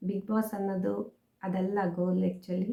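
A woman speaks in a dark, mellow tone, somewhat breathy, with a monotone, flat intonation. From Mangalore region, coastal Karnataka. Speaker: YouTuber. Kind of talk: vlog monologue.

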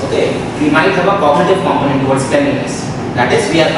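Recorded with audible room echo and loud background noise, a man speaks with ordinary pitch variation. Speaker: ethics lecturer. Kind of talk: lecture. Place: classroom.

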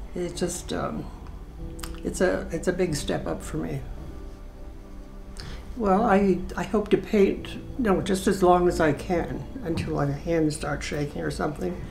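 Against clear music in the background, a woman speaks at a fairly slow pace with long, frequent pauses. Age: 80s+. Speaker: painter. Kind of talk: interview answer. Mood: modest, warm, gently proud. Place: home room.

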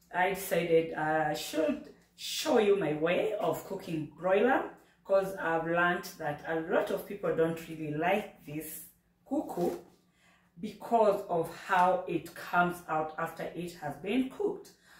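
With a quiet background and audible room echo, a woman talks at a fairly slow pace in a fairly low pitch with ordinary pitch variation. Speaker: cooking channel host. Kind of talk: casual vlog chat. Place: kitchen.

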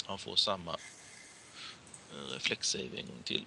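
A man's bright, sharp tone with a slightly husky edge and vocal fry

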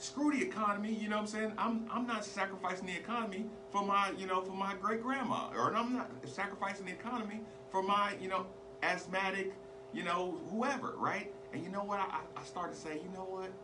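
A man with an American accent speaks in a raised, projected voice at a high pitch and fairly quick pace. Noticeable background noise runs underneath. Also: ordinary pitch variation. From military bases, US. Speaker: local sports and talk show host; talk show host. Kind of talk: radio-style call-in monologue. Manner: halting, many repetitions and fillers. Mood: sarcastic, indignant. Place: studio. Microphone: studio mic.

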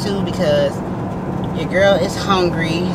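A woman talks rather slowly while loud noise fills the background. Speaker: delivery driver vlogger. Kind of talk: casual vlog chat. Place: car. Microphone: phone near.

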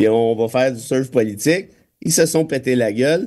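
Against a quiet background, a man with a dark, mellow tone speaks with lively intonation. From Quebec. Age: 40s. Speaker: lawyer and political commentator; lawyer, political commentator. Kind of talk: casual radio chat. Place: studio.

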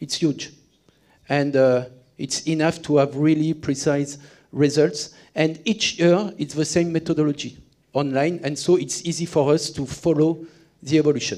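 A man with a French accent, dark and mellow in tone and fairly high in pitch, at a moderate pace with fairly even intonation over a quiet background. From France. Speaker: sales and marketing executive. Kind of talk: conference presentation. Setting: stage with audience. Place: hall. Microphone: headset.

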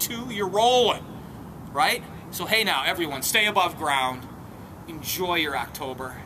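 A man with an American accent speaks at a moderate pace with lively intonation over noticeable background noise. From Minnesota, St. Paul; Minnesota. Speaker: vlogger, antiques picker; vlogger. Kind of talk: casual vlog monologue. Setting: outdoors in a cemetery, on crypt steps. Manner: animated. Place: open country.

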